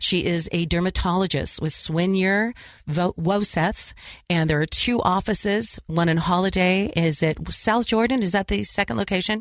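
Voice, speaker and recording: A woman's normal speaking voice, medium in pitch, with ordinary pitch variation, very even loudness, a moderate pace and a quiet background. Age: 50s. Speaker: radio host. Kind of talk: interview.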